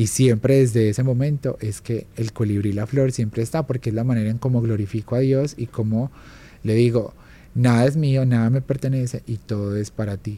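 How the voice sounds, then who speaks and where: At a moderate pace, a man speaks in a medium pitch, somewhat breathy, with a dark, mellow tone and fairly even intonation. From Colombia, Armenia Quindío (coffee region). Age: 30s. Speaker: illustrator and graphic designer. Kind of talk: interview.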